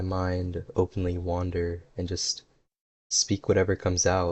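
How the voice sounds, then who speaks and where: A somewhat breathy man with a very deep, low pitch at a fairly slow pace. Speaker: YouTuber. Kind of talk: casual unscripted talk while gaming. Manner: monotone at first, livelier later.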